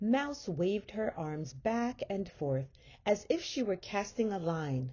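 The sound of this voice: The delivery comes in an unforced reading voice.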